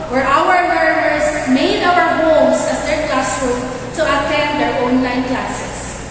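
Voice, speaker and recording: A woman with fairly even intonation amid noticeable background noise and strong room echo. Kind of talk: formal ceremony speech. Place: church.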